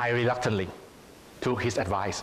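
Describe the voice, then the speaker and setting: At a moderate pace and medium pitch, a man with a Thai accent speaks over noticeable background noise. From Thailand. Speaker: public speaking contestant. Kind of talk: prepared speech.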